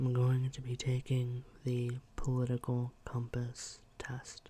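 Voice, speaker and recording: A man's soft-spoken, somewhat breathy voice, dark and mellow in tone, medium in pitch, with flat, monotone intonation and a very slow pace. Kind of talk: casual talk to camera, ASMR video.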